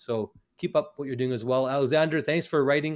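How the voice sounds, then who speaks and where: Against a quiet background, a man talks very fast. He has a Canadian accent. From northern Canada. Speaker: eye surgeon. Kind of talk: webinar talk.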